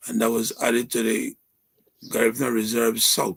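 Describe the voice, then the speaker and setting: With a medium pitch and vocal fry, a man is speaking. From Belize, Dangriga. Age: 70s. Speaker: activist and history professor. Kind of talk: interview. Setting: live stream.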